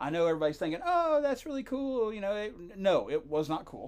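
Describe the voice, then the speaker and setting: A man with an American accent talks at a fairly quick pace. His pitch swings very widely. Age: 40s. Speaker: podcast co-host. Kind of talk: casual chat.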